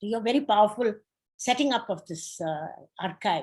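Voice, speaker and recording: Her pitch moves across a very wide range. The woman keeps a moderate speed. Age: 80s+. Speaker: feminist scholar, discussant. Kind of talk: discussant response to a public talk. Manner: halting, many fillers and restarts.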